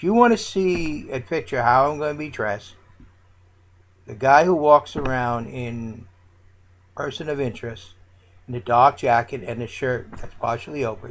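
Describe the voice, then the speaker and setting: A man of medium pitch talks at a moderate pace with long, frequent pauses, big swings in loudness and ordinary pitch variation. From United States. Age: 60s. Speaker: vlogger, political candidate and Navy veteran. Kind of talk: political monologue. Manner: gruff.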